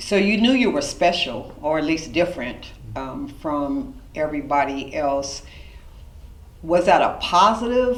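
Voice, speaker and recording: A woman talks at a fairly slow pace with lively intonation. Noticeable background noise runs behind her. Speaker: reverend and event host. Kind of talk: interview questions.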